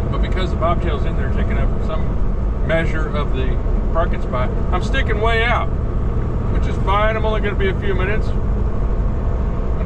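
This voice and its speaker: Loud background noise fills the recording. Over it, a man talks at a fairly quick pace. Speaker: truck driver. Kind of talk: angry late-night rant mocking rookie truckers. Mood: annoyed, ranting. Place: car. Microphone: camera far.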